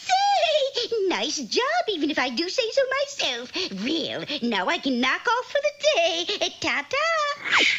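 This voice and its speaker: A cartoonish character voice that sounds female uses an extremely high pitch with very wide swings. The pace is fairly slow, and background noise is clear. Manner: gleeful, cackling.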